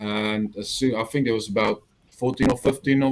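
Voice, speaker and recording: Medium in pitch, a man with a strong South African accent keeps his intonation fairly even. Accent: South African, still strong. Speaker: army veteran and Star Wars extra. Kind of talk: interview chat. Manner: hesitant, many fillers.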